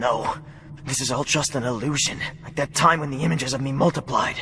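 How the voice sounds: Putting on a cartoonish character voice, a man talks fairly quickly at a fairly high pitch with fairly even intonation, over clear background noise.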